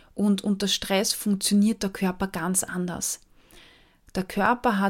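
On a very clean recording with a silent background, a woman at medium pitch speaks at a very slow pace. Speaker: nutrition psychologist and podcast host. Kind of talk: solo educational podcast talk.

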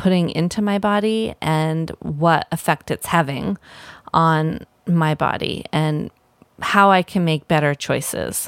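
A woman with an unremarkable speaking voice has a fairly low pitch and fairly even intonation. The sound is dry and close with no echo. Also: very clean recording, silent background. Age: 40s. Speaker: herbalist and podcast host. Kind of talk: casual solo podcast talk.

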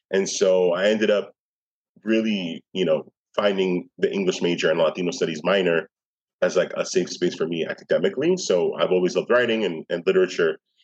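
A man with an American accent talks at a fairly quick pace, keeping his loudness very even. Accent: New York, Nuyorican. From New York City (Bronx, East Harlem). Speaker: poet and arts administrator. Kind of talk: interview conversation.

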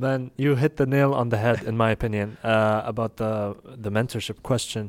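A man's medium-pitched voice with an Arabic accent and fairly even intonation, at a moderate pace, on a very clean recording with a silent background. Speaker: podcast host. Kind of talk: interview conversation.

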